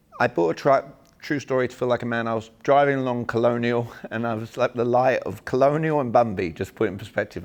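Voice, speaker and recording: Speaking at a very fast pace with an English accent, the voice moves through an ordinary amount of pitch variation. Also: man. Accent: English accent, kept on purpose. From England. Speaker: sales and communication trainer. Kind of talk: seminar talk. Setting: small room seminar with audience. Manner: animated.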